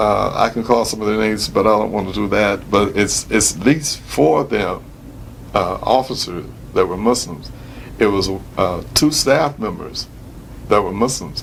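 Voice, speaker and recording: A man talks with a fairly low pitch that varies in an ordinary way, keeping a moderate pace. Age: 60s. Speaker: retired prison imam. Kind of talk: interview. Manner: halting, many fillers.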